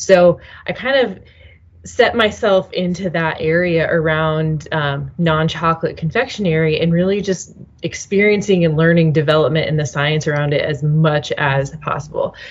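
A woman's somewhat breathy, fairly low-pitched voice at a moderate pace, with ordinary pitch variation. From US Midwest, Nebraska. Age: young. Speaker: food scientist and business founder. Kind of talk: interview.

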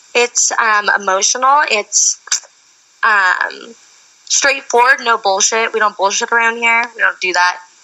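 Over noticeable background noise, a woman speaks fairly slowly at a fairly high pitch, with ordinary pitch variation and very even loudness. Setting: phone call.

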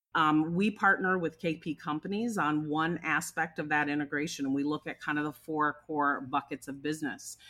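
In a very clean recording with a silent background, a woman with an American accent talks at a moderate pace in a very deep, low pitch with ordinary pitch variation. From Minnesota. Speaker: diversity and inclusion consultant. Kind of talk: interview.

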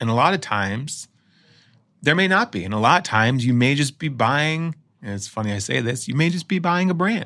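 Bright and sharp in tone, a man with an American accent talks at a fairly quick pace and fairly high pitch, his pitch swinging very widely, on a very clean recording with a silent background. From Chicago, US Midwest. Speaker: entrepreneur, popcorn company founder. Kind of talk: interview conversation. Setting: studio.

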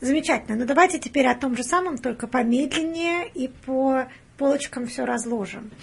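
A woman's high-pitched voice at a moderate pace. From Russia, Penza. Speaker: hospital patient navigator, guest interviewer. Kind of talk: interview. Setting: studio.

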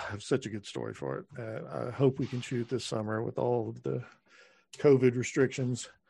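Against a quiet background, a man speaks with a Texan accent. His pace is moderate. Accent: Texan American. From Texas. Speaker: screenwriter and filmmaker. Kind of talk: casual interview.

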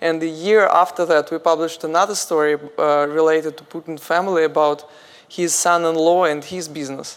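In a Russian accent, a woman talks at a fairly quick pace with a fairly low pitch and monotone, flat intonation. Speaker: journalist, media founder. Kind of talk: panel discussion. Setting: stage with audience.

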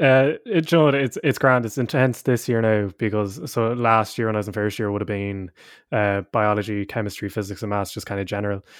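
With an Irish Midlands accent, a man talks at a fairly quick pace and a fairly low pitch. His pitch varies in an ordinary way over a quiet background. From Ireland (midlands). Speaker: university student and choir singer. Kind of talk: casual interview chat.

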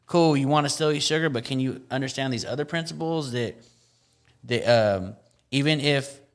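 With music in the background, a man with an American accent speaks at a moderate pace in a fairly high pitch with ordinary pitch variation. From Central California (Tracy). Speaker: hip hop artist and activist. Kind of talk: casual chat.

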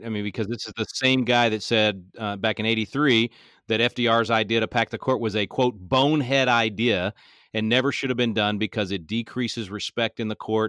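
In a bright, sharp tone, a man with an American accent speaks fairly quickly at medium pitch over a quiet background. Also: dry, close sound with no echo. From Texas. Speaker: political activist, constitution teacher. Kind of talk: podcast interview. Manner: animated.

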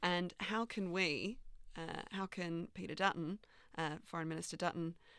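A woman speaks at a fairly low pitch with a bright, sharp tone. The recording is very clean, with a silent background. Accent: Australian. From Australia. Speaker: journalist, co-host. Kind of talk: interview.

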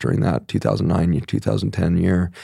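The speaker's voice has vocal fry and a dark, mellow tone. The pace is fairly quick. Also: man. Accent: American. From Colorado, US West. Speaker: physician. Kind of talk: interview conversation.

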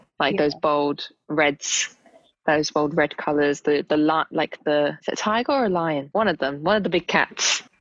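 With a British accent, a woman talks at a fairly slow pace in a very deep, low voice. Her loudness stays very even, with ordinary pitch variation. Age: 20s. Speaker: media planning executive. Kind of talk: casual chat.

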